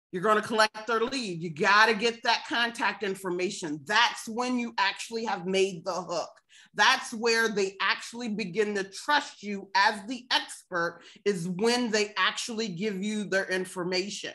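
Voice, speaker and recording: Bright and sharp in tone, a woman's voice at medium pitch moves at a fairly slow pace with ordinary pitch variation. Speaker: marketing automation consultant. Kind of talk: webinar presentation. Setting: online webinar with chat.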